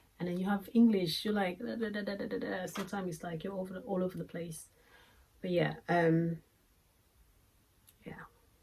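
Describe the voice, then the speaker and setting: A woman with a non-native accent speaks at a fairly quick pace, with ordinary pitch variation and long, frequent pauses. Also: medium pitch for a woman. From Congo. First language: French or Lingala. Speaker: beauty vlogger. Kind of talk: product review. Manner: hesitant, many fillers; casual.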